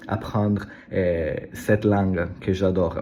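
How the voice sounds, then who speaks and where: A man speaks with an Italian accent at a fairly slow pace. Noticeable background noise runs behind him. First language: Italian (speaking French). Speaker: language learner vlogger. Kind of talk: casual vlog monologue. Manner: halting, many hesitations and repetitions.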